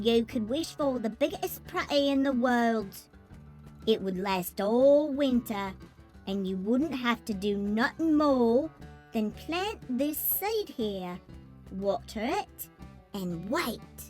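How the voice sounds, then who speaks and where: A female-sounding put-on character voice, fairly high in pitch, at a very slow pace over clear music in the background. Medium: read story. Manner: wheedling.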